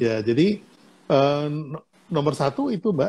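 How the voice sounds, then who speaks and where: Somewhat breathy and dark, mellow in tone, a man speaks at a fairly slow pace in a fairly high pitch with ordinary pitch variation. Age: 70s. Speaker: business mentor. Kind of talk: casual chat. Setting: Instagram Live video stream.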